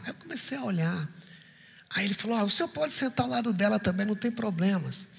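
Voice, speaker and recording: Lively intonation marks a man's high-pitched voice at a fairly quick pace. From Recife, Brazil. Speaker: pastor. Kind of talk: sermon. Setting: church.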